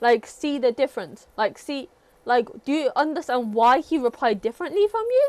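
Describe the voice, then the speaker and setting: Lively intonation and a British accent come through at a moderate pace. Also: woman. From Britain. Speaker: livestreamer teaching English. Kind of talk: casual chat. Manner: hesitant, many fillers.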